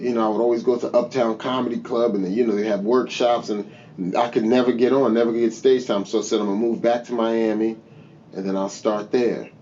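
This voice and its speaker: Amid noticeable background noise, a man in an American accent talks fairly quickly at a medium pitch, his intonation monotone and flat. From New Jersey. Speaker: stand-up comedian. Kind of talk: casual podcast interview. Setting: studio.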